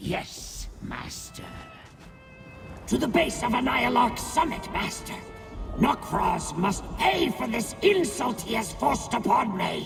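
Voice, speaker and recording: A man's put-on character voice at a fairly slow pace, with clear music in the background. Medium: machinima. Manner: arrogant, vengeful.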